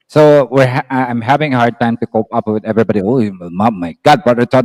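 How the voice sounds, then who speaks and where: A man talks fairly quickly at a medium pitch, with ordinary pitch variation. The sound is dry and close, with no echo. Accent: Filipino. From Philippines. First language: Tagalog. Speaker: live stream participant. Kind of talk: casual chat. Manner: soft-spoken; halting.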